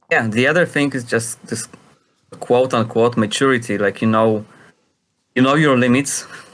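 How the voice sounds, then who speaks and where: A man with a Polish accent and a medium pitch talks at a moderate pace with ordinary pitch variation and long, frequent pauses. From Poland. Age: 40s. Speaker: freestyle skateboarder, competition judge. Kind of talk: podcast interview answer.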